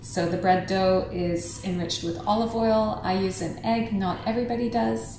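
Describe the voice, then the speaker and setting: A woman's medium-pitched voice with very wide pitch swings, amid audible room echo and noticeable background noise. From Canada. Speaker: chef and cooking teacher. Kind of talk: market tour chat; cooking tutorial.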